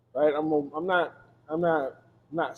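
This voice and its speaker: Monotone and flat in intonation, a man talks in a fairly high pitch with an American accent. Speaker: recording artist. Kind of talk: casual chat. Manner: loud.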